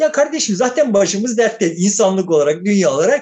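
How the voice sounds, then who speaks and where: Pitch swings very widely as a man talks. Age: 60s. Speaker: political commentator. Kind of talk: casual chat.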